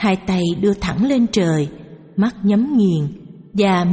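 Someone does plain reading aloud. Pitch variation is ordinary.

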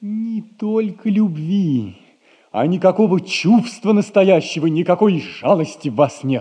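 A man puts on a character voice, pitched high, with lively intonation and a fairly slow pace. His tone is dark and mellow, with a slightly husky edge.

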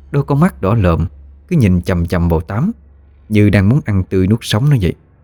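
Lively intonation runs through the speaker's unforced reading voice.

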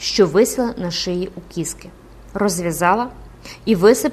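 Someone does plain reading aloud. Ordinary pitch variation shapes the lines.

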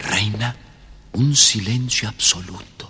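Speaking at a slow pace with an Argentine accent, a man's fairly low voice has a bright, sharp tone, a husky, rough edge and ordinary pitch variation.

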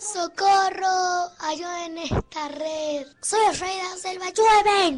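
In a put-on character voice, someone bellows at an extremely high pitch, fairly slowly and with hardly any pauses. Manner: roaring fiercely, pleading for help.

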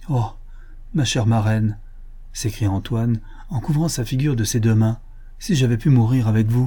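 This is someone reading aloud in a natural voice. The pitch moves in an ordinary way.

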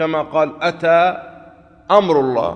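A man talks at a fairly quick pace in a fairly bright tone. His pitch variation is ordinary.

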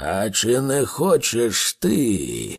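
In a put-on character voice, the speaker bellows and growls at a very slow pace, with vocal fry, a slightly husky edge and very wide pitch swings. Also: man, fairly low pitch for a man, very clean recording, silent background.

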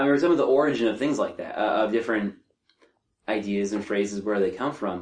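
The man's tone is animated and his pitch fairly low. He talks at a fairly quick pace with ordinary pitch variation. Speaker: podcast guest. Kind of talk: casual chat. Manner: joking, animated.

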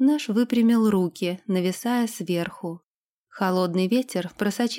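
Quiet background behind plain reading aloud, pitch variation ordinary

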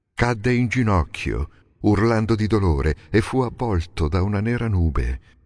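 This is a natural reading voice with lively intonation.

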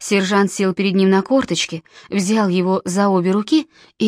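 Someone reads text aloud in a natural voice.

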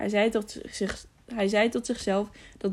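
Someone reads a text aloud. The voice sounds natural.

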